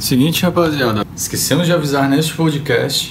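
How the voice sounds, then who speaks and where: Speech at a moderate pace comes through with noticeable background noise and audible room echo. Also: man. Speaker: podcast co-host, beatmaker. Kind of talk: casual chat. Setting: recording late at night.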